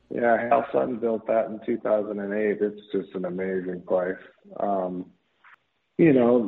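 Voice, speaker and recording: At a fairly slow pace, a man with an American accent and an ordinary speaking voice talks at a medium pitch. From US Midwest, Minnesota. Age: 50s. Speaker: professional golfer. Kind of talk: casual interview chat.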